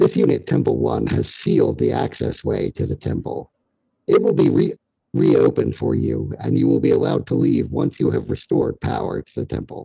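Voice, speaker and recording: A man performs a put-on character voice that sounds robotic and booming. He talks at a fairly quick pace. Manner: booming, robotic.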